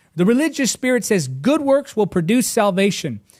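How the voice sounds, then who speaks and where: A man speaks at a fairly slow pace in an animated tone, his pitch swinging very widely, on a very clean recording with a silent background. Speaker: preacher. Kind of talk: sermon.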